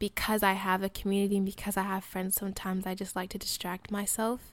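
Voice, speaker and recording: With an American accent, a woman speaks at a medium pitch in a monotone, flat intonation. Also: very clean recording, silent background. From US, Colorado. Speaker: college student podcaster. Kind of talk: personal reflective monologue. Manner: casual, many fillers.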